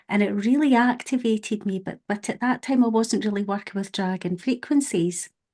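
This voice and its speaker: A woman with a strong Scottish accent and medium pitch, against a quiet background. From Scotland. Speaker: podcast host. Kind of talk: casual chat.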